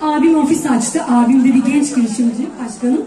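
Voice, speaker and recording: A woman speaks at a moderate pace. Crowd noise sits in the background, and room echo is audible. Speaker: dietitian. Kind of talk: public speech. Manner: talkative.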